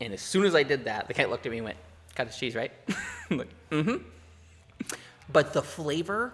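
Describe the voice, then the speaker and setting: Mumbling at a fairly quick pace, a man with a fairly high pitch makes very wide pitch swings and takes long, frequent pauses. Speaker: comedy podcast co-host. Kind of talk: casual chat. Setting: pub. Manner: fast, mumbling.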